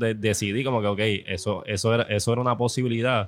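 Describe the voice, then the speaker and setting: Speaking in a plain, everyday voice, a man moves at a fairly quick pace with a fairly low pitch. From Puerto Rico. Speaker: social media cook. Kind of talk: casual chat. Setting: food festival.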